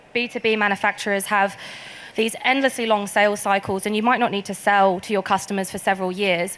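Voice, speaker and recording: Speaking very fast with a British accent, a woman keeps a medium pitch and fairly even intonation. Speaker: tech company sales specialist. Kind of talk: conference presentation. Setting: stage with audience.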